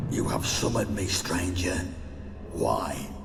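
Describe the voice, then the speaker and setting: A put-on character voice moves at a fairly slow pace through loud background noise and a clear echo. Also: man. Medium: machinima. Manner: menacing, haughty.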